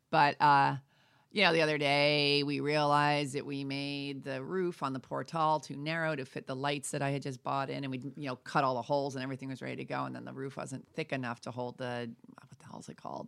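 In a very clean recording with a silent background, a voice with an American accent speaks at a fairly quick pace in a monotone, flat intonation. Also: woman, very deep, low pitch for a woman, big swings in loudness. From New York. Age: 50s. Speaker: self-help author. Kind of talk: interview.

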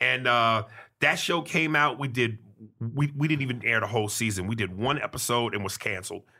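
Recorded very cleanly against a silent background, a man talks at a medium pitch and a fairly quick pace, with ordinary pitch variation and a bright, sharp tone. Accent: New York. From New York City. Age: 40s. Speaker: comedian. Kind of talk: casual chat. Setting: studio.

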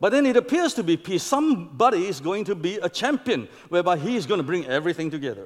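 A man speaks in a high pitch at a very fast pace, with hardly any pauses. His pitch swings very widely. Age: old. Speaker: visiting preacher. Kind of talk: sermon.

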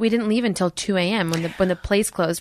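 A woman with a plain, everyday voice speaks at a medium pitch and a moderate pace, her intonation fairly even. The sound is dry and close with no echo, over a quiet background. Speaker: podcast co-host. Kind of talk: casual chat.

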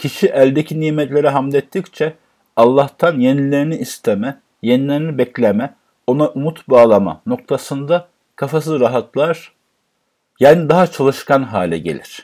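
Captured on a very clean recording with a silent background, a man speaks at a fairly high pitch in a dark, mellow tone. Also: ordinary pitch variation, moderate pace. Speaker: Quran teacher. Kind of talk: religious lecture.

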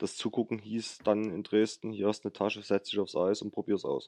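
A man speaks at a fairly low pitch with a dark, mellow tone. The sound is dry and close, without any echo. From Saxony, near Chemnitz. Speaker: para ice hockey national player. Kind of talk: interview.

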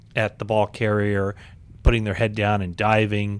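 A man with an unremarkable speaking voice and fairly low pitch talks at a moderate pace. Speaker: sports podcast host. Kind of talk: interview.

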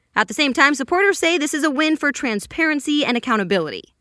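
Talking at a very fast pace with lively intonation and an upbeat tone, a woman has a bright, sharp voice on a very clean recording with a silent background. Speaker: news podcast host. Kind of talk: news reading, scripted daily news briefing. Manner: brisk, clear, upbeat newscaster delivery; steady, even pacing with a polished, professional tone.

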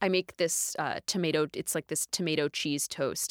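On a very clean recording with a silent background and a dry, close sound with no echo, a woman has an unremarkable speaking voice, a fairly low pitch, fairly even intonation and a moderate pace. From US South (Dallas, Texas). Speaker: cookbook author and food writer. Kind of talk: interview.

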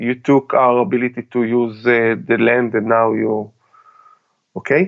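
The speaker talks at a very slow pace with an Israeli accent. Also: man. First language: Hebrew. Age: 40s. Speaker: army veteran and tactical trainer. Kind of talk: interview. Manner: halting.

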